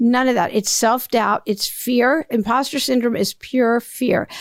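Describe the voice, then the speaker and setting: The sound is dry and close, with no echo. A plain, everyday voice speaks at a moderate pace. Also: woman. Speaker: podcast host. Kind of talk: solo monologue.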